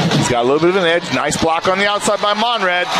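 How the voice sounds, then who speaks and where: A man speaks very fast in an animated, excited tone. Background noise is noticeable. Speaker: football play-by-play announcer. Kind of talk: live sports commentary, play-by-play highlights call. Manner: animated, rapid-fire, excited, rising energy on touchdowns; loud, punchy, calling yardage in quick countdowns.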